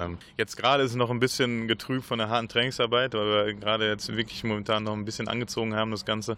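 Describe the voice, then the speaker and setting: This man's pitch sits fairly low. He speaks at a fairly quick pace. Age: 30s. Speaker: field hockey player. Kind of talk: radio interview. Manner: halting, many repetitions.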